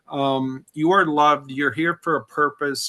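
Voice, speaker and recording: In a quiet background, a man talks with a fairly high, bright, sharp voice and fairly even intonation. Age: 60s. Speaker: recovering alcoholic, memoir author. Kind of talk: interview testimony.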